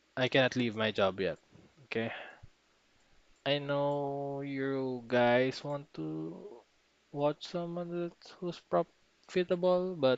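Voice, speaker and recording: A man with a non-native accent at a very slow pace, medium in pitch, with ordinary pitch variation. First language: not English. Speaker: trading streamer. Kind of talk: live trading backtest tutorial. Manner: halting.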